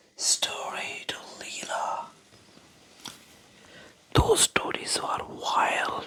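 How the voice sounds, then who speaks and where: The whispered words come out very slowly. Background noise can be clearly heard. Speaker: ASMR creator. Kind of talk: whispered bedtime story for sleep.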